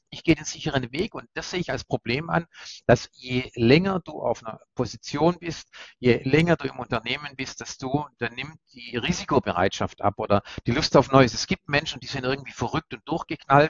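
Using a plain, everyday voice, a man speaks at a fairly quick pace and fairly high pitch, with lively intonation and big swings in loudness. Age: 50s. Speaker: corporate PR head, former newspaper journalist. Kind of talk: interview.

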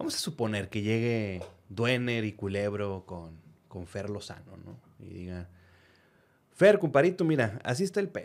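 A man with an unremarkable speaking voice talks at a medium pitch and fairly slow pace, with lively intonation and big swings in loudness, in a very clean recording over a silent background. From northern Mexico, Reynosa, Tamaulipas. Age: 30s. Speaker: podcast host. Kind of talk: casual chat.

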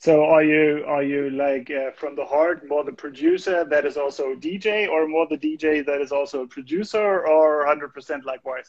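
With a German accent, a man speaks at a fairly high pitch and a moderate pace, using fairly even intonation and hardly any pauses. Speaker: music label livestream host. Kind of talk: casual interview. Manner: halting.

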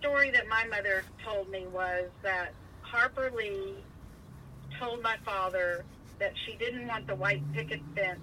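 A woman's medium-pitched, normal speaking voice at a fairly slow pace. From Virginia. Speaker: family member interviewed about family history. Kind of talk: casual family conversation.

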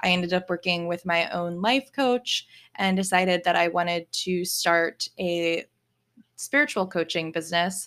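Using a normal speaking voice, a woman with an American accent talks at a moderate pace in a fairly low pitch with ordinary pitch variation, on a very clean recording with a silent background. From Virginia, US. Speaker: spiritual coach and podcast host. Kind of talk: solo podcast monologue.

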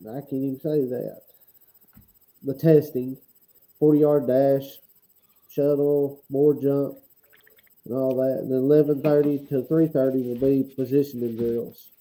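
A man's fairly high yet dark, mellow voice with a Southern US accent, monotone and flat, at a fairly slow pace broken by long, frequent pauses. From Alabama. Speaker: football coach and podcast co-host. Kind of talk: casual chat.

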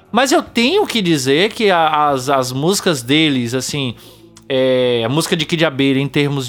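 An unremarkable speaking voice: a man at a fairly high pitch, fairly slow pace and lively intonation. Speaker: podcast host. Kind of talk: casual chat.

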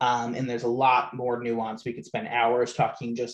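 A man speaks at a medium pitch, somewhat breathy. The background is quiet. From Rhode Island. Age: 20s. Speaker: youth prevention nonprofit director. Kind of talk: casual interview.

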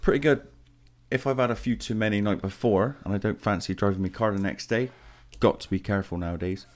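On a very clean recording with a silent background, a man with an English accent talks at a very fast pace, his fairly low pitch showing ordinary variation. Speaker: podcast co-host. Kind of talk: casual chat. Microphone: new mic.

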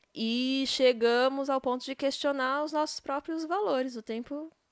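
In a relaxed tone and at a fairly slow pace, a woman speaks with a high pitch and ordinary pitch variation, on a very clean recording with a silent background and a dry, close sound with no echo. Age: 30s. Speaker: podcaster. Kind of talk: casual monologue. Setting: at home in bed.

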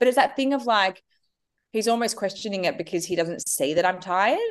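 A woman speaks with an Australian accent. Her voice is fairly high-pitched. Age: 30s. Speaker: entrepreneur and author. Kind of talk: interview.

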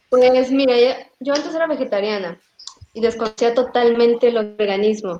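A woman talks at a moderate speed, keeping her intonation fairly even. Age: 30s. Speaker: vegan interviewee. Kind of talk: casual interview chat.

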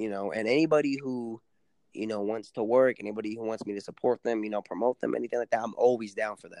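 A man with an American accent talks very fast at medium pitch in a dark, mellow tone, with fairly even intonation and big swings in loudness. The sound is dry and close, with no echo. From San Antonio, Texas (west side). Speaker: rapper. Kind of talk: interview.

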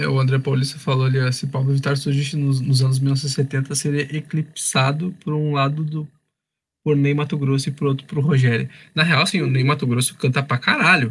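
This man speaks at a moderate pace with a fairly high pitch. His intonation is fairly even and his voice is somewhat breathy. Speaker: radio show host. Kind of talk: casual chat. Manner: halting.

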